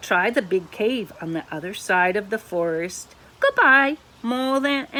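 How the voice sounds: The speaker's intonation is lively throughout a natural reading voice.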